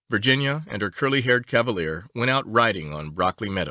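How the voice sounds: Reading done in a natural reading voice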